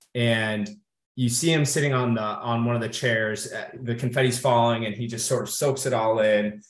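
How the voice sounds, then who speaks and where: Audible room echo surrounds a man with an American accent and a medium pitch. He keeps a moderate pace and fairly even intonation. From US Midwest, Kenosha, Wisconsin. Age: 30s. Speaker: Marine Corps veteran, corporate strategist. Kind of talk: interview.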